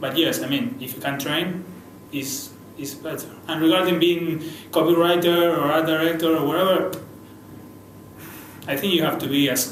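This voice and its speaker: A man with a Spanish accent speaks at a fairly high pitch and a moderate pace, with ordinary pitch variation and long, frequent pauses, amid noticeable background noise and audible room echo. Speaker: advertising creative director. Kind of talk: interview. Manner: halting, many repeated words.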